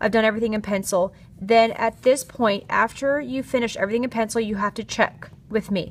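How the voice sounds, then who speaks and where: Very rapid speech from a woman, her pitch fairly high and her intonation fairly flat. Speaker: art teacher. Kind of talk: tutorial. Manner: fast.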